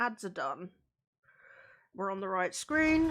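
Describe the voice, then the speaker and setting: In a very clean recording with a silent background, a woman speaks quietly at a medium pitch, very slowly, with very wide pitch swings. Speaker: video game streamer. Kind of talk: live gameplay stream chat.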